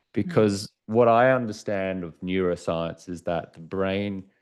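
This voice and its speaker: This man has a very deep, low pitch and an Australian accent. He speaks at a fairly slow pace against a quiet background. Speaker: author and former sports TV anchor. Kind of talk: podcast interview.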